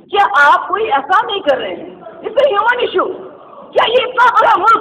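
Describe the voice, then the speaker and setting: Through noticeable background noise, a woman projects a raised voice at an extremely high pitch with lively intonation. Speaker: politician. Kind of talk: political assembly speech. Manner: forceful, indignant.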